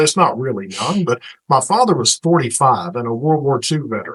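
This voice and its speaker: This man has an American accent and a fairly high voice. His intonation is lively. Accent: Texan, lighter than it used to be. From Northeast Texas (Paris). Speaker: radio host and program director. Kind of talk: podcast interview.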